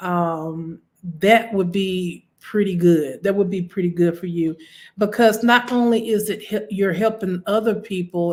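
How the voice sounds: A woman at a fairly low pitch, with a fairly slow pace and fairly even intonation.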